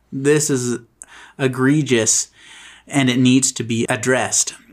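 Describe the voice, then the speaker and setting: On a very clean recording with a silent background, a man with a plain, everyday voice and medium pitch talks at a fairly slow pace. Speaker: podcast host and editor. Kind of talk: casual chat.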